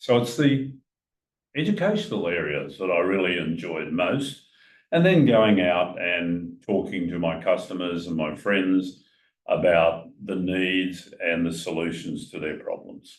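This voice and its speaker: Speaking with an Australian accent, a man with a very deep, low pitch goes at a fairly slow pace with ordinary pitch variation. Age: 80s+. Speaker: retired financial adviser, retirement coach. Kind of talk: casual chat.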